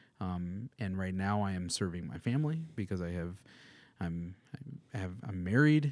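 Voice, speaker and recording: A man with an American accent, very deep and low in pitch, lively in intonation, at a moderate pace. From US Midwest (Madison, Wisconsin). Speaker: musician and music producer. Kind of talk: casual interview chat.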